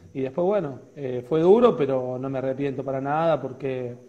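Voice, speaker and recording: At a fairly quick pace, a man is speaking. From Argentina, Córdoba province (Río Tercero); Córdoba province, Argentina. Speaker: football coach, former player; coach, interview guest. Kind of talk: interview. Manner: hesitant, many repetitions. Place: home room. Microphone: earbuds.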